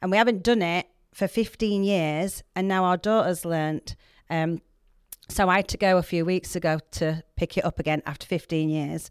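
On a very clean recording with a silent background and a dry, close sound with no echo, a woman with a Yorkshire accent speaks at a moderate pace and fairly low pitch with ordinary pitch variation. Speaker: podcast guest, church project mentor. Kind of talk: casual, chatty.

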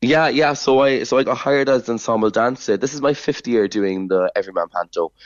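Talking at a fairly quick pace with hardly any pauses, a man in a Cork accent uses a medium pitch with ordinary pitch variation. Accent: Cork Irish. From Ireland, Cork. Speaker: dancer and choreographer. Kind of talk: radio interview.

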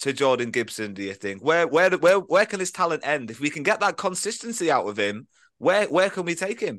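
Over a quiet background, a man talks fairly quickly with hardly any pauses at a fairly high pitch. His voice has vocal fry and very wide pitch swings. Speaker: football podcast host. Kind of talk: casual football podcast chat; excited football match recap, replaying a goal. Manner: animated, gushing, scene-painting.

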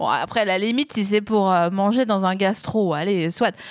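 A woman speaks at a moderate pace while crowd noise fills the background. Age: 30s. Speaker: podcast host. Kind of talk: casual chat.

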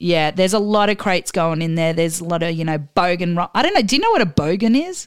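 A woman speaks with an Australian accent at a very fast pace, with hardly any pauses. Her pitch varies in an ordinary way. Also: fairly low pitch for a woman. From Australia, Adelaide. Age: 40s. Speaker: DJ. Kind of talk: casual chat interview.

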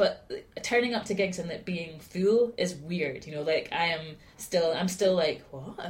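Somewhat breathy and fairly low-pitched, this woman talks at a fairly slow pace with ordinary pitch variation. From Scotland, Aberdeen. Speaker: singer-songwriter. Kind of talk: casual chat. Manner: halting.

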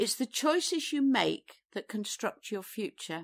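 A woman speaks with an East Midlands accent. The recording is very clean and dry, close with no echo and a silent background. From England, Derbyshire. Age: 60s. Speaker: artist and former entrepreneur. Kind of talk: interview. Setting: on location in a barn.

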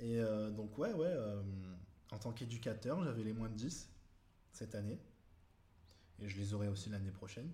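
With audible room echo, a man speaks at a fairly low pitch in a somewhat breathy, dark, mellow tone, with ordinary pitch variation and long, frequent pauses. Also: moderate pace. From Toulon, southern France. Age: 20s. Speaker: amateur rugby player. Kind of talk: casual interview. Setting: at the guest's home.

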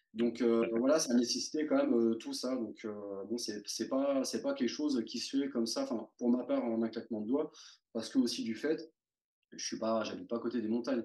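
Dark, mellow tone from a man pitched in the medium range. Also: fairly even intonation, moderate pace. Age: 40s. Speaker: amateur mountaineer. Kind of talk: interview. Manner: hesitant.

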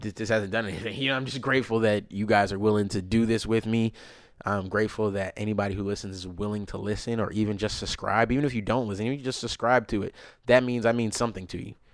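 Delivered very fast, the speech keeps a fairly even intonation. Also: man, fairly low pitch for a man. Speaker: podcast host. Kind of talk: casual chat. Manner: halting.

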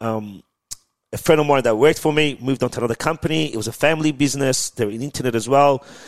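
In an Australian accent, a man speaks at a very fast pace. The sound is dry and close, with no echo. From Iran, raised in Melbourne, Australia. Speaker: tech entrepreneur. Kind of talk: podcast interview. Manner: animated.

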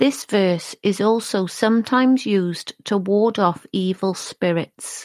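A woman speaks at a very slow pace and a medium pitch. The recording is very clean with a silent background and a dry, close sound with no echo. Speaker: true crime podcast narrator. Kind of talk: true-crime narration. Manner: measured, sombre, steady; clear, formal, even-paced.

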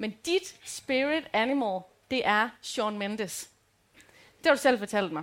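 Pitched fairly high, a woman speaks at a very slow pace with very wide pitch swings and long, frequent pauses. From Denmark, Rigskov. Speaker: podcast co-host. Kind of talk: live show banter. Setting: stage with audience.

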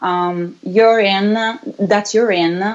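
This woman has an Italian accent and a medium pitch. Her pitch varies in an ordinary way. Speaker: rock band singer. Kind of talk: casual chat. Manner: halting.

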